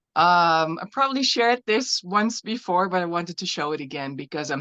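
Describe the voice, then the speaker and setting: A woman with a Dutch accent speaks at a moderate pace in a fairly low voice, with ordinary pitch variation and a dry, close sound that has no echo. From Netherlands. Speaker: glass artist. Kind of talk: artist presentation. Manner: halting.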